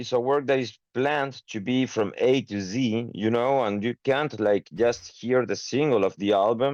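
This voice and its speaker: Against a quiet background, a man with a Spanish accent speaks at medium pitch and a moderate pace. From Chile. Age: 30s. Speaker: metal band singer. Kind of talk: interview. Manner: halting, many fillers.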